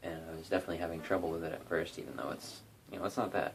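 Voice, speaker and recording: A man speaks in a relaxed tone with a very deep, low pitch. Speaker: guitarist doing a tutorial. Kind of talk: casual talk to camera, tutorial. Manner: monotonous, relaxed.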